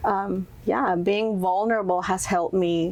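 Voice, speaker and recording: A woman speaks in a Spanish accent. Her pace is fairly slow. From Mexico, Monterrey. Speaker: entrepreneur and influencer. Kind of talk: interview.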